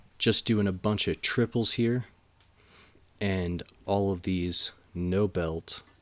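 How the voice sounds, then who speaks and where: A man speaks very slowly in a fairly low voice with fairly even intonation and long, frequent pauses, on a very clean recording with a silent background. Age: 30s. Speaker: powerlifting vlogger. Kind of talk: casual vlog voiceover. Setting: home gym in cabin. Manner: casual, conversational.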